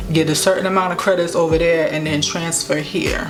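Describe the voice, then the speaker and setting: A woman speaks in a fairly low voice with fairly even intonation. Audible room echo and music in the background fill the clip. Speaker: YouTuber. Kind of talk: storytime monologue. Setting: at home. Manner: casual, chatty.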